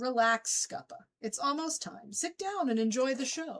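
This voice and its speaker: A female-sounding voice performs a put-on character voice at a high pitch. The pace is moderate. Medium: read story.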